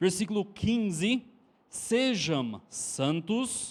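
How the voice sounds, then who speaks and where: A man with an American accent speaks at a very slow pace with lively intonation, recorded very cleanly over a silent background. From Texas. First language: English (speaking Portuguese). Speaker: preacher. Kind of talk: sermon.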